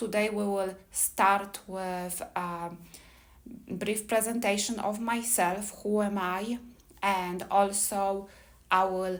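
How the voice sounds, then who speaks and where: In a Polish accent, a woman speaks very slowly with monotone, flat intonation. Room echo is audible. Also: medium pitch for a woman. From Poland. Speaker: immigration attorney. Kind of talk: seminar presentation. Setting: live seminar with audience. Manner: hesitant, with fillers.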